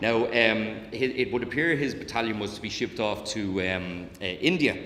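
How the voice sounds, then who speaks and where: A man with a Dublin accent talks at a moderate pace and medium pitch, his intonation lively. Room echo is audible. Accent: Dublin Irish. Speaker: historian and author. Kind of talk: public lecture. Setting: talk with live audience. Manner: frequent fillers and repetitions; occasional tics (mild Tourette's).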